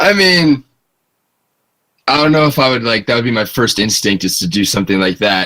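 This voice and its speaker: Medium pitch, a bright, sharp tone and an American accent from a man, fairly quick yet with long, frequent pauses and very wide pitch swings. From northern US. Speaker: interview guest. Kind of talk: casual chat.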